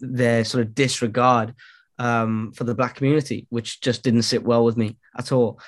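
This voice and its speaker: A man with a Welsh accent, medium pitch, against a quiet background. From Wales. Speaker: musician and entrepreneur. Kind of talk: casual chat. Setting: video call.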